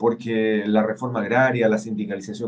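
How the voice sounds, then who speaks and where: The voice sits at a medium pitch. It belongs to a man. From Chile. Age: 60s. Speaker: senator. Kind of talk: political interview. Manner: halting, many fillers.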